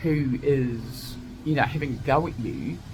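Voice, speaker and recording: A woman talks with an Australian accent. Audible room echo surrounds her voice. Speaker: vlogger. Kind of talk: casual monologue. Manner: loud; animated.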